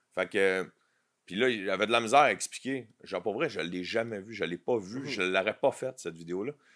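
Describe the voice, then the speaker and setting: Talking at a very fast pace with lively intonation, a man speaks in a Quebec accent on a very clean recording with a silent background. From Quebec, south shore. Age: 40s. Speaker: comedian. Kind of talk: casual chat.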